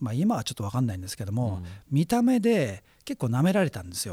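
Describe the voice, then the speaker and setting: In a very clean recording with a silent background, a man speaks in a somewhat breathy voice with a dark, mellow tone and very wide pitch swings. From Japan, Chiba (Yachiyo). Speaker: radio host, cultural analyst. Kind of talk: casual chat.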